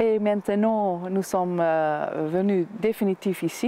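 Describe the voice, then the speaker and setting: A woman speaks at a medium pitch with a slight Dutch accent. Her intonation is fairly even. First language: Dutch (speaking French). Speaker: winemaker. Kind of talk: TV interview. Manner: halting, many hesitations.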